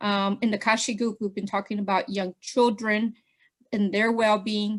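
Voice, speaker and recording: In a very clean recording with a silent background, a woman speaks in a flat monotone, fairly high in pitch and somewhat breathy. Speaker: presenter at partners meeting. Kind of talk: presentation. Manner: fast.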